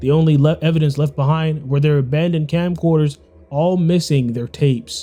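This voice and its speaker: A man speaks at a moderate pace in a fairly high pitch, with ordinary pitch variation and noticeable background noise. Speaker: gaming streamer. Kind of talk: let's play commentary; reading aloud. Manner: quiet and tense.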